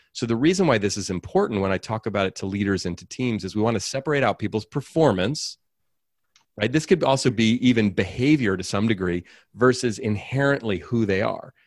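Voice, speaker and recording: In a very clean recording with a silent background and a dry, close sound with no echo, a man with an American accent speaks at a fairly quick pace in a plain, everyday voice, his medium pitch carried by lively intonation. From Oakland, California. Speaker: author and speaker. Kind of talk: interview.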